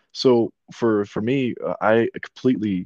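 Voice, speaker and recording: An unremarkable speaking voice carries fairly even intonation over a quiet background. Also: man. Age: 20s. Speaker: podcast host. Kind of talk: casual chat.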